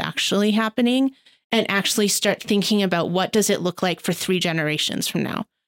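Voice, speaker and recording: With a Canadian accent, a woman at medium pitch speaks fairly quickly in a normal speaking voice with ordinary pitch variation, recorded very cleanly against a silent background. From Canada, Calgary. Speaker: philanthropy advisor. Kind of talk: interview.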